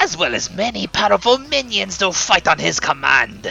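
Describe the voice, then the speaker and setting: A man performs a put-on character voice with faint music in the background. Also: moderate pace. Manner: dramatic, menacing.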